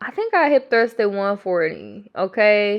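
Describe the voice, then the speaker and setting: At a fairly slow pace, a woman talks with a medium pitch. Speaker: fitness vlogger. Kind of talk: workout voiceover vlog, casual. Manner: animated, excited.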